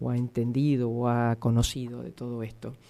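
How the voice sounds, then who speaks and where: A woman with a very deep, low pitch speaks at a fairly slow pace with a Rosario accent. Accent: Argentine Spanish, Rosario. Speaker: radio host. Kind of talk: radio interview.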